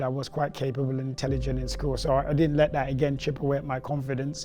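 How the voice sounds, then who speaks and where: A man at a very fast pace and fairly high pitch, amid noticeable background noise. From Nigeria (Lagos), then Brixton, London from teens. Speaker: head teacher and basketball coach. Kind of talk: documentary interview.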